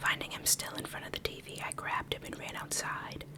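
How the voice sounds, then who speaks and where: A woman whispers over noticeable background noise. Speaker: streamer, gaming ASMR creator. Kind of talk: ASMR reading of a scary story from Reddit. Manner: soft, hushed, slow.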